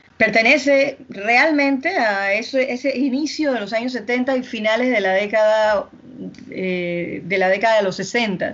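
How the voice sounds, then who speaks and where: A woman with a plain, everyday voice, fairly high pitch and ordinary pitch variation, at a fairly slow pace. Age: 50s. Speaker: podcast co-host. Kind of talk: casual chat.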